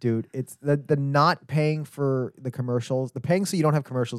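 A man speaks at a moderate pace in a plain, everyday voice, the sound dry and close with no echo. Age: 40s. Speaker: pop culture podcast co-host. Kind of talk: casual chat. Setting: wearing headset, recording studio.

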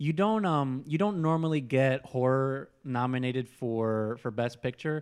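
This man has an unremarkable speaking voice at a medium pitch, with ordinary pitch variation. He talks at a fairly slow pace with hardly any pauses. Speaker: podcast host. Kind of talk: casual chat. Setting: studio.

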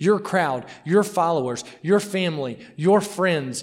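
A high-pitched man with a Mississippi accent at a fairly slow pace. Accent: US Southern (Mississippi). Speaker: missionary. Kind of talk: sermon. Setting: church.

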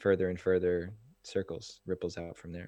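A man speaks with an American accent at a very deep, low pitch. His pace is moderate and his intonation fairly even. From US Northeast, New Jersey near New York City. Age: 30s. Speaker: men's movement founder. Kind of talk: interview. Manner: halting.

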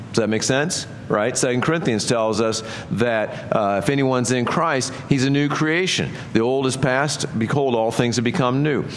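A man speaks at a medium pitch with very even loudness. Noticeable background noise can be heard. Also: ordinary pitch variation, moderate pace. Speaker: pastor. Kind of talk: sermon. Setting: church. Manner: conversational.

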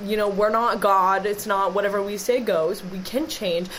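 A woman with an American accent talks at a fairly quick pace in a medium pitch. Audible room echo and noticeable background noise surround her voice. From Wisconsin, Green Bay. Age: 20s. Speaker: sports podcast co-host. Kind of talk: casual chat.

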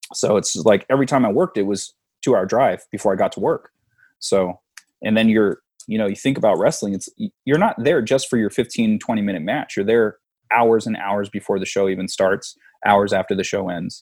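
The recording is very clean and the background silent. A man speaks fairly quickly. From San Diego, California. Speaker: former pro wrestler and comic book artist. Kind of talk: casual interview.

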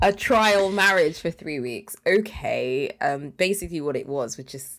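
Recorded very cleanly against a silent background, a woman speaks with a British accent and lively intonation. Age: 30s. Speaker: podcast co-host. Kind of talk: casual chat.

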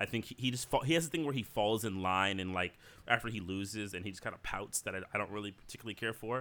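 This man talks at a very fast pace with a bright, sharp tone. His fairly low voice shows ordinary pitch variation. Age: 40s. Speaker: podcast co-host. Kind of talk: casual chat. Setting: at home.

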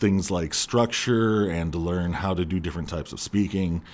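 On a very clean recording with a silent background, a man with a Californian accent speaks at a fairly low pitch with ordinary pitch variation. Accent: Californian American English. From Southern California. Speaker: former speech competitor and actor. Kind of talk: casual interview.

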